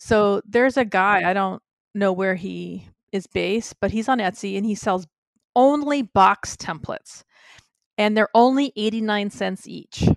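A woman with an American accent speaks at a fairly slow pace in an ordinary speaking voice, her pitch medium and its variation ordinary, against a quiet background. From Massachusetts, Cape Cod. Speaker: artist and blogger. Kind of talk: casual chat.

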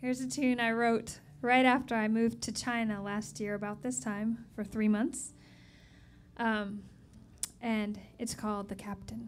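A woman talks at a fairly slow pace with fairly even intonation, leaving long, frequent pauses. Light background noise is audible. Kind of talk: stage introduction of a song. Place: stage. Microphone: handheld.

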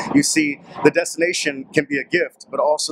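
Over noticeable background noise, a man with an American accent talks at a fairly quick pace in a fairly high pitch. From Portland, Oregon; Oregon. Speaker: motivational vlogger. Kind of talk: motivational talk to camera. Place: street. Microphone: phone near.

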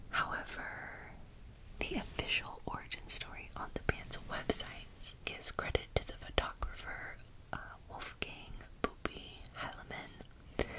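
The speech is whispered. It moves fairly slowly. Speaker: ASMR creator. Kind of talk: ASMR whispered magazine flip-through. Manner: whispered, soft-spoken.

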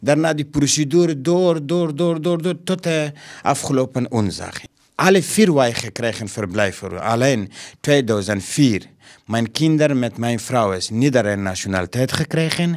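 Against a quiet background, a man at medium pitch talks fairly slowly with lively intonation. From Afghanistan. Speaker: school caretaker and refugee. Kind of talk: interview. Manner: halting. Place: office. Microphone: handheld.

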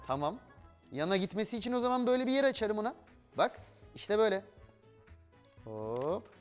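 A man speaking at a moderate pace over faint background music. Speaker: TV presenter. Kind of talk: tutorial. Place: studio.

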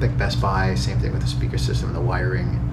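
Loud background noise surrounds a man as he talks. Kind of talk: casual vlog chat. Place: home room. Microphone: phone near.

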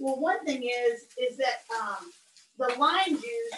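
With an American accent and lively intonation, a woman speaks at high pitch amid audible room echo. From southern United States. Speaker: cooking instructor. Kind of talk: live cooking demonstration. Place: kitchen. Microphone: video call.

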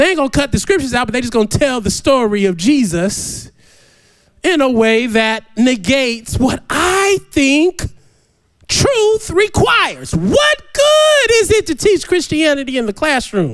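A man speaks in an animated tone at an extremely high pitch, with very wide pitch swings. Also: fairly slow pace, quiet background. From US. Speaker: pastor. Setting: church. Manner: animated, humorous, vernacular riffing with laughs and exclamations; halting, filler-heavy when explaining the text. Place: church. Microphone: handheld.

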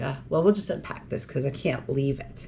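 With light background noise, a woman speaks at a very fast pace, her pitch swinging very widely. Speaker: co-host. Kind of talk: casual vlog chat. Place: home room. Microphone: camera far.

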